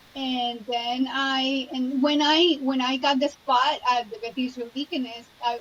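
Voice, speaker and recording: A woman with a Spanish accent speaks at a high pitch with fairly even intonation. Noticeable background noise runs underneath. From Colombia, Cali. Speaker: trauma surgeon. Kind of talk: interview.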